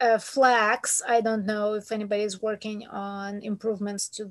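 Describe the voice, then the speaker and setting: Over a quiet background, a woman speaks at a medium pitch with monotone, flat intonation. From Ukraine. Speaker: workshop attendee. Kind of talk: Q&A question. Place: home room. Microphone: video call.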